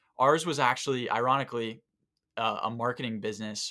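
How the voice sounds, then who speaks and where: A man with an American accent and an ordinary speaking voice, medium in pitch, at a fairly quick pace with fairly even intonation, on a very clean recording with a silent background. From Southwest Florida. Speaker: digital agency co-founder. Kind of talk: casual interview conversation. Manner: frequent ums and repetitions.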